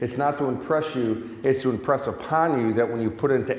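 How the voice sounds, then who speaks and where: A man with an American accent at a medium pitch and a fairly quick pace, ordinary pitch variation, audible room echo and noticeable background noise. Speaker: success coach. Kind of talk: motivational talk. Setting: stage with audience. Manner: animated.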